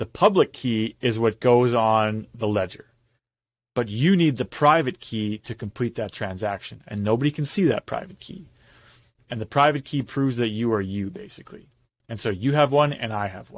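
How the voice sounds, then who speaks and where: Recorded very cleanly with a silent background and a dry, close sound with no echo, a man uses a plain, everyday voice at a moderate pace, with a medium pitch and lively intonation. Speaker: podcast host. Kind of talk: casual chat. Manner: joking.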